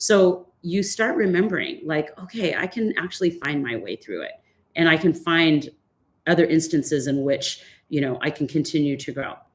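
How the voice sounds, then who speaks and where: With an ordinary speaking voice, a woman talks at a moderate pace, her fairly low pitch showing ordinary variation. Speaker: fitness instructor and life coach. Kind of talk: online workshop talk. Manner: casual, with many fillers.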